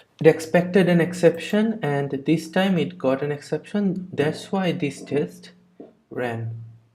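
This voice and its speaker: The speaker has a non-native accent. The pace is fairly slow. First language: not English. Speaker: programming tutor. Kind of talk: tutorial. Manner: halting, many fillers and restarts.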